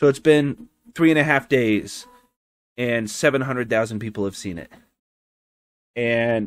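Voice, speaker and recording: A man speaks at a fairly slow pace in a medium pitch. His pitch varies an ordinary amount, and the sound is dry and close with no echo. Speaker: podcast host. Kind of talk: casual chat.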